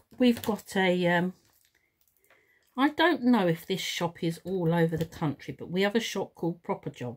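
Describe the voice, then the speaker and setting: A woman with a London accent, medium in pitch, at a moderate pace with lively intonation. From London, England. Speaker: craft teacher and video maker. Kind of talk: tutorial. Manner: casual, hesitant with fillers.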